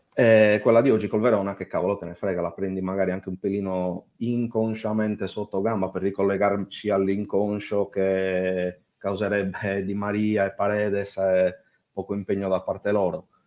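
At a moderate pace, a man with a fairly low voice speaks in a monotone, flat intonation. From Sardinia, Italy. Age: 30s. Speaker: caller. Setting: voice chat online.

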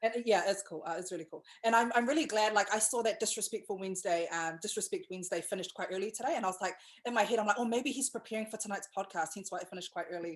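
Speaking very fast with a New Zealand accent, a woman at medium pitch sounds animated, her pitch varying in an ordinary way while her loudness swings widely. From New Zealand, Pacific islander. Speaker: podcast host and brand agency owner. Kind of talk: casual chat interview. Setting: video call. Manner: animated, chatty, excitable.

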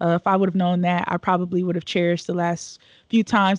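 Talking very fast in a flat monotone, a woman is recorded with a dry, close sound and no echo. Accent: American. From Cleveland, Ohio, US Midwest. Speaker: youth development director. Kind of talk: casual interview.

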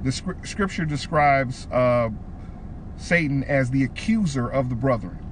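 A man with an American accent speaks at a fairly slow pace with long, frequent pauses, lively intonation and very even loudness over noticeable background noise. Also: medium pitch for a man. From Detroit, Michigan. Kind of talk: casual faith-teaching chat.

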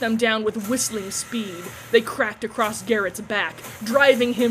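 Someone is reading aloud in a natural voice, keeping a fairly even intonation.

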